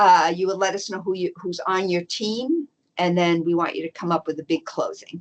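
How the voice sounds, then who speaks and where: A woman with a normal speaking voice talks at a moderate pace and medium pitch, her intonation fairly even, the sound dry and close with no echo. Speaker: event organizer presenting info session. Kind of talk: online information session presentation.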